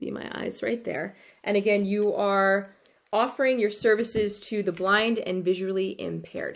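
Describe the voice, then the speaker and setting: This woman talks at a moderate pace with medium pitch and fairly even intonation, recorded very cleanly against a silent background. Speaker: therapist vlogger. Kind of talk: casual vlog talk to camera. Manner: halting, with fillers and repeated words.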